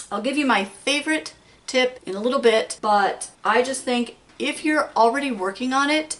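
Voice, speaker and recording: Noticeable background noise beneath speech of ordinary pitch variation. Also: woman, high pitch for a woman. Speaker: crafts channel host. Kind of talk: casual tutorial. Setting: craft room at home. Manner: fast.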